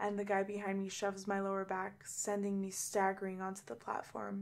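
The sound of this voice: This is an unforced reading voice. The words are read out.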